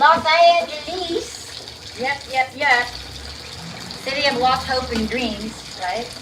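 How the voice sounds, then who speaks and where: In a New Jersey accent, a woman speaks in a raised, projected, high-pitched voice with an animated tone and lively intonation. Background noise is noticeable. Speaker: comedian and livestreamer. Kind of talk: casual cooking livestream chat. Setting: kitchen at a friend's house, livestream.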